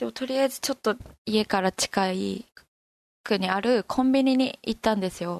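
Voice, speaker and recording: Against a quiet background, a woman with a plain, everyday voice speaks at a moderate pace, fairly high in pitch with ordinary pitch variation. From Fukushima, Koriyama. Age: 20s. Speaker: university student. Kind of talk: interview.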